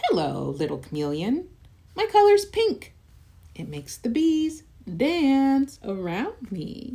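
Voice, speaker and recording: This female-sounding voice is a put-on character voice, pitched high and delivered at a fairly slow pace. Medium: read story.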